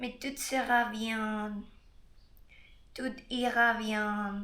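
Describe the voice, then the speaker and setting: Audible room echo surrounds a woman with a bright, sharp tone. She speaks in a Spanish-speaking accent. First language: Spanish (speaking French). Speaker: Spanish tutor. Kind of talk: guided meditation; casual self-introduction. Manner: halting, searching for words.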